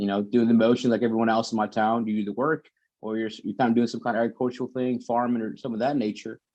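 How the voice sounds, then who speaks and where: A man with a Texan accent talks at medium pitch with fairly even intonation. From Texas. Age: 30s. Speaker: army sniper. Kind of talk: casual chat.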